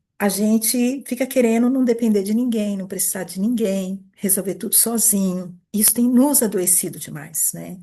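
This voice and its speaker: A woman with a dark, mellow tone and a somewhat breathy medium pitch speaks at a moderate pace with ordinary pitch variation and hardly any pauses. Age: 60s. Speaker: therapist / coach running an institute. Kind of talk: informal talk answering a group question. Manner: conversational, with hesitations and repetitions.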